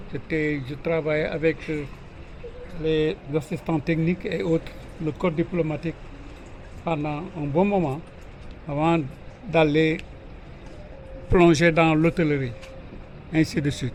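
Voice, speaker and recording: Over noticeable background noise, a man with a fairly high pitch speaks at a very slow pace with long, frequent pauses. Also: fairly even intonation. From Senegal, Ngor village near Dakar. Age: 70s. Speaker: village elder. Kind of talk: interview answers to children.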